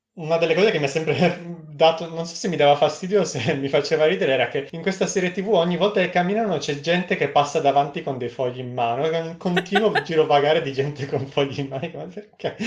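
Here a man talks very fast with hardly any pauses. His pitch is fairly high, and background noise is noticeable. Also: ordinary pitch variation. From Friuli, north-east Italy (Udine), later Novara. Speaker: researcher. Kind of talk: casual interview.

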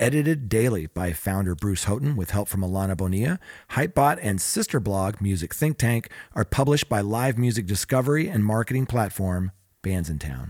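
Speaking at a fairly quick pace, a man has an ordinary speaking voice with a fairly low pitch. The recording is very clean, dry and close, with a silent background and no echo. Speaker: podcast host. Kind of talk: casual chat with news discussion.

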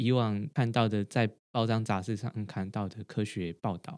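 The recording is very clean, with a silent background. The voice moves at a moderate pace with ordinary pitch variation. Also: man. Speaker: podcast co-host, doctorate holder. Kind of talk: casual chat. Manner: halting, frequent repetitions.

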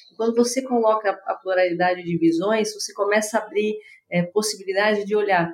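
At a moderate pace, a woman talks in an unremarkable speaking voice of medium pitch, her pitch varying in an ordinary way. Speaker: tech company executive. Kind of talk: interview conversation.

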